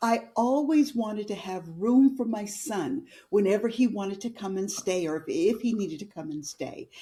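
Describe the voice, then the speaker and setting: A woman with a normal speaking voice, talking at a moderate pace. Her intonation is lively, with hardly any pauses. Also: fairly high pitch for a woman. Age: 60s. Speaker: entrepreneur, women's community founder. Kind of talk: casual interview chat.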